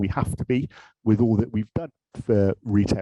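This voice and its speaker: A man speaks with a British accent in a dark, mellow tone and ordinary pitch variation. The sound is dry and close, with no echo. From UK. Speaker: industry director at a tech manufacturer. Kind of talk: panel discussion.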